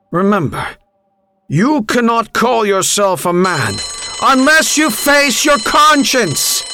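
A put-on character voice, bright and sharp in tone, slow in pace, with big pitch swings. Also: man, extremely high pitch for a man.

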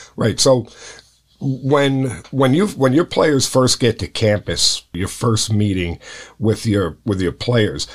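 A man with a plain, everyday voice speaks at a fairly slow pace and a medium pitch with ordinary pitch variation, in a very clean recording with a silent background. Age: 60s. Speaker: high school baseball coach and podcast host. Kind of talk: casual interview.

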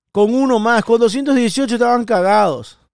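Animated in tone, a man talks at a high pitch. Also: very clean recording, silent background. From Ecuador. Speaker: executive protection specialist and podcaster. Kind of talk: solo podcast monologue.

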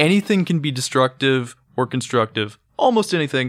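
A man with an American accent speaks in an unremarkable speaking voice, using lively intonation at a fairly quick pace on a very clean recording with a silent background. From South Carolina, Irmo. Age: 20s. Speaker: podcast co-host. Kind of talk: casual chat.

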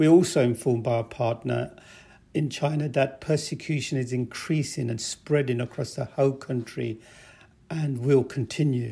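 In a very clean recording with a silent background, a man with a medium pitch speaks at a moderate pace in a somewhat breathy, dark, mellow tone. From England, raised from early childhood after moving from Pakistan. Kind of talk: interview testimony.

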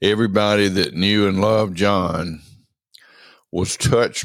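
A man with a very deep, low voice and a Southern US accent speaks at a very slow pace, his solemn tone carried on fairly even intonation. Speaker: eulogist and friend. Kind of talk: eulogy, warm and reverent tribute to a late friend, with affectionate anecdotes. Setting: recorded late at night, alone. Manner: slow, reflective, sentimental, with halting pauses and repeated phrases; heartfelt and solemn, unhurried, ending in cadenced repetition.

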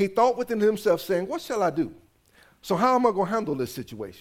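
Lively intonation from a man at a fairly quick pace. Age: 50s. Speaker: pastor. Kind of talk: sermon.

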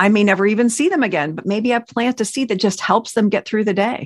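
Dry and close with no echo on a very clean recording with a silent background, a woman with a plain, everyday voice and a fairly high pitch talks at a fairly quick pace. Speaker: podcast co-host, radio broadcaster. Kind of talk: faith-based podcast conversation.

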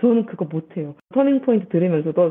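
With an animated tone and very wide pitch swings, a woman talks at a fairly quick pace over noticeable background noise. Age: young. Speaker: science educator. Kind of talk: interview.

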